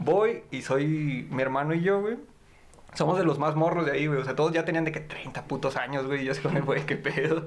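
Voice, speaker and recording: Noticeable background noise sits behind speech that goes at a moderate pace, its pitch varying in an ordinary way. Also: man, fairly high pitch for a man. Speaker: podcast guest. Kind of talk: casual chat. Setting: studio.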